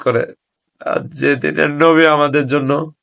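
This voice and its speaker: His fairly high voice, that of a man, keeps a fairly even intonation. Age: 20s. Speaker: religious video blogger. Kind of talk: religious monologue to camera. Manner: halting.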